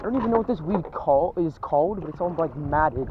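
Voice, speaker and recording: At a moderate pace, the voice sounds dry with no echo, though there is noticeable background noise. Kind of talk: casual vlog chat. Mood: relaxed, upbeat. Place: boat. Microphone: phone near.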